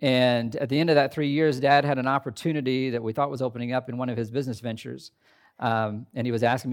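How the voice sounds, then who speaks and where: A man with a plain, everyday voice and an American accent talks fairly quickly at a medium pitch with fairly even intonation on a very clean recording with a silent background. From US Midwest, southern Indiana. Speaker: pastor. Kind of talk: sermon. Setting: chapel with audience.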